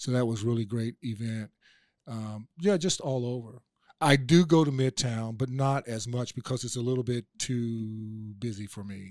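On a very clean recording with a silent background, a man with an unremarkable speaking voice talks at a moderate pace in an American accent, his medium pitch showing ordinary variation, his loudness swinging widely, and the sound dry and close with no echo. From Oklahoma. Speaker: political candidate, former police officer. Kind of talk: interview.

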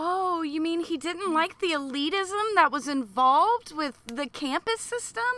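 A woman with an American accent, extremely high pitch, bright, sharp tone, raised, projected voice, lively intonation and hardly any pauses. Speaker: comedy podcast co-host. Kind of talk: casual comedic banter. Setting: outdoors on a porch. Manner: profane.

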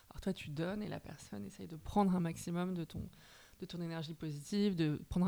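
A woman talks at a very fast pace in a fairly low voice. Her tone is dark and mellow, with ordinary pitch variation. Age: 30s. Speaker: journalist and novelist. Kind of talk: casual interview chat.

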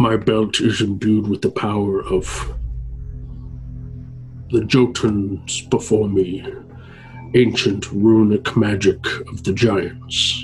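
Over clear background music, a raspy put-on character voice drags along at a very slow pace, broken by long, frequent pauses. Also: man, fairly low pitch for a man. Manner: terse, proud, cold.

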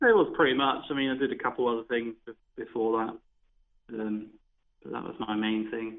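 Talking at a moderate pace and medium pitch with a West Country accent, a man keeps his intonation fairly even while his loudness swings widely. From Devon, southwest England. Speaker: professional darts player. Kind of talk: interview.

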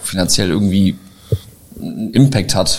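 A man's voice against noticeable background noise. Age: 30s. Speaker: short-term rental entrepreneur. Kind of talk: interview. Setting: live event venue.

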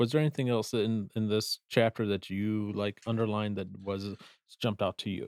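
A man with an American accent speaks in a normal speaking voice, fairly low and fairly quick with fairly even intonation. The sound is dry and close with no echo, on a very clean recording with a silent background. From US Midwest, southeastern Wisconsin. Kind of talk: casual book discussion; reading aloud from notes.

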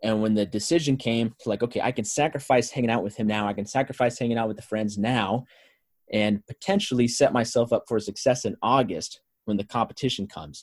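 In a very clean recording with a silent background and a dry, close sound with no echo, a man with an American accent uses an unremarkable speaking voice at medium pitch, with ordinary pitch variation and a fairly quick pace. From California. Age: 20s. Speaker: strength and conditioning coach. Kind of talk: casual chat.

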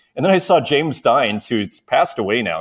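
With a Canadian accent and an unremarkable speaking voice, a man talks at a fairly quick pace with lively intonation in a dry, close sound with no echo. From Saskatoon, Canada. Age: 40s. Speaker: digital artist and show host. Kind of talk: casual interview chat.

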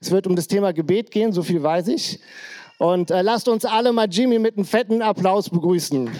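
This man has a high pitch and a dark, mellow tone, speaking at a moderate pace. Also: ordinary pitch variation. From Germany, Krefeld. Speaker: pastor. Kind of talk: church service introduction. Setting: church stage with audience. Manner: casual.

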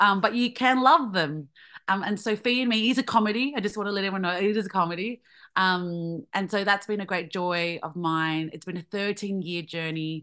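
Over a quiet background, a woman talks at a fairly quick pace in a bright, sharp tone, with medium pitch and ordinary pitch variation. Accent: Australian. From Australia, Vietnamese family. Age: 30s. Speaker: comedian. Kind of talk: interview.

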